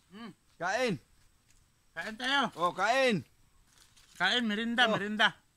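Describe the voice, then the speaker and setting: With a raised, projected voice and a bright, sharp tone, a man speaks at a high pitch and a very slow pace, with ordinary pitch variation, big swings in loudness, and long, frequent pauses. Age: 40s. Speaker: vlogger. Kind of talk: casual vlog.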